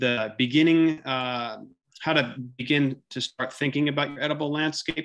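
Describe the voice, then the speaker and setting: A man's bright, sharp tone with ordinary pitch variation and a quiet background. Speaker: presenter. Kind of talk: webinar presentation. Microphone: video call.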